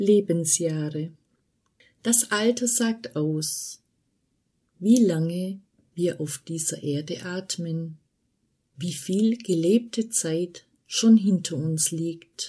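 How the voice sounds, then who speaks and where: A woman speaks at a very slow pace with long, frequent pauses, her voice fairly low and somewhat breathy. Her tone is dark and mellow, with ordinary pitch variation. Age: 40s. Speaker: podcast host. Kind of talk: scripted monologue.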